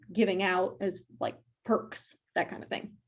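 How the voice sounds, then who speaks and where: Against a quiet background, a woman talks fairly quickly in a medium pitch. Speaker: event host demonstrating conference platform. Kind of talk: software walkthrough on video call. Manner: fast.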